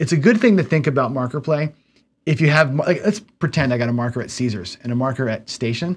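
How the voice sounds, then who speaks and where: At a very fast pace, a man speaks in a fairly high voice. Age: 50s. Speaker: gambling channel host and teacher; gambling educator. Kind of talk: casual livestream lecture. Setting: studio. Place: home room.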